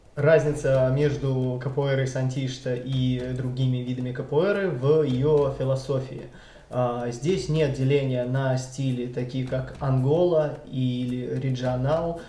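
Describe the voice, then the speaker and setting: Over noticeable background noise and audible room echo, a man talks at a very slow pace with fairly even intonation. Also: medium pitch for a man. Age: 30s. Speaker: capoeira instructor. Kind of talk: interview testimony. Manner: hesitant, many filler sounds.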